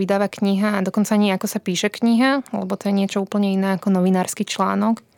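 Close and dry with no echo, a woman talks at a very fast pace in a medium pitch. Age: 20s. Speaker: journalist and book co-author. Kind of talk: interview conversation.

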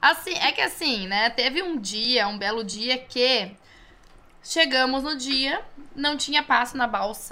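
Using a raised, projected voice, a woman speaks with a high pitch and lively intonation. Her pace is very slow. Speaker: DJ. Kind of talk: casual chat.

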